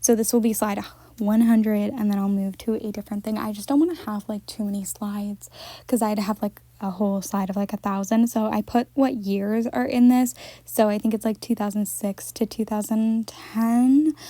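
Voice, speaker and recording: A woman with a fairly high pitch and a dark, mellow tone speaks with fairly even intonation and a somewhat breathy quality. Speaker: doll collector vlogger. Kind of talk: casual chat. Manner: fast.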